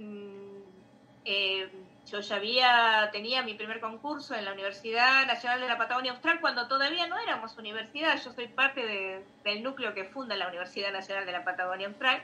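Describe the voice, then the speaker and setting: In a plain, everyday voice, a woman speaks at a fairly quick pace with a fairly high pitch and ordinary pitch variation. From Bahía Blanca, Buenos Aires province, Argentina. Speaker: literature professor and researcher. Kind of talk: live-streamed interview. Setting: live video stream, also on radio.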